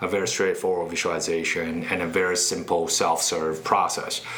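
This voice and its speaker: At a moderate pace, a man speaks in a Chinese accent amid noticeable background noise and audible room echo. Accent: Mandarin Chinese accent in English. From China (Beijing). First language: Mandarin Chinese. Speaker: startup CEO. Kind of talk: interview.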